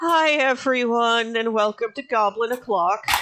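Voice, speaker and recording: At a moderate pace, a put-on character voice runs at a fairly high pitch. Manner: playful.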